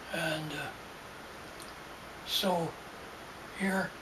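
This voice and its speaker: A man speaks at a high pitch with monotone, flat intonation. The recording carries audible room echo and noticeable background noise. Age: 90s. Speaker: elderly storyteller. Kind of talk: casual chat. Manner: halting.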